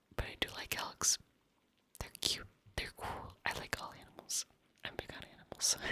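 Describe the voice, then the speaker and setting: Whispering at a moderate pace, the voice makes big swings in loudness and takes long, frequent pauses. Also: woman. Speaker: ASMR creator. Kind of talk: casual talk to camera, Q&A.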